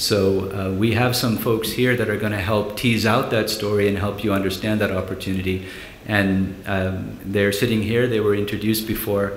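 Against light background noise and audible room echo, a man speaks at a fairly low pitch in a monotone, flat intonation. He keeps a moderate pace with hardly any pauses. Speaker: panel moderator. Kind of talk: conference session introduction. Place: hall. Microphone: podium.

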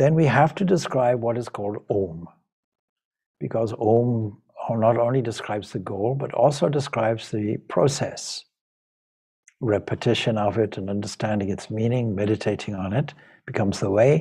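A somewhat breathy man's voice, dark and mellow in tone, at a moderate pace with ordinary pitch variation and a quiet background. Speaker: spiritual teacher. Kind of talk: lecture. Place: home room. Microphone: video call.

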